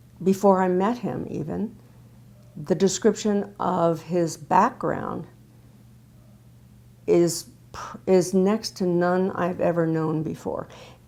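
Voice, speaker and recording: A woman with an American accent speaks very slowly in a dark, mellow tone, leaving long, frequent pauses, on a very clean recording with a silent background. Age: 70s. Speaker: patient, retired speech pathologist. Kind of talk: testimony. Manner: halting.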